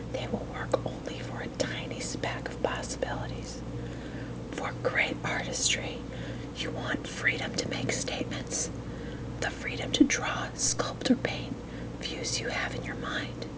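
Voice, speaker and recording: A woman whispers fairly slowly, with noticeable background noise behind her. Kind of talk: ASMR book reading. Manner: whispered.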